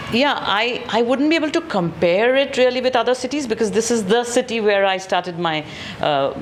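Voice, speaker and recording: A woman with a fairly high pitch talks at a fairly quick pace, her intonation lively and her loudness very even. Noticeable background noise is present. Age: 60s. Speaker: theatre group director. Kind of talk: interview.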